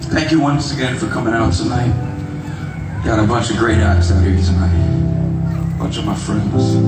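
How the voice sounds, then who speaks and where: A man talks at a moderate pace. Room echo is audible, and loud music plays in the background. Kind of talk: stage talk to audience. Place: stage.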